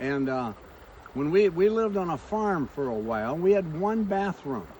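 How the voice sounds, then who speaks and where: A man with a high pitch speaks at a moderate pace, his voice swinging very widely in pitch over noticeable background noise. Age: 80s+. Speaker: pastor and motivational speaker. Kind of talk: motivational talk.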